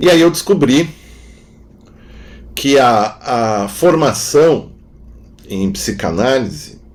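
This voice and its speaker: A man's medium-pitched voice at a very slow pace, with very wide pitch swings and long, frequent pauses. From southern Brazil, Rio Grande do Sul (Novo Hamburgo). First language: German (speaking Portuguese). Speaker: philosopher and psychoanalyst. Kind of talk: interview conversation. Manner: halting, with frequent fillers.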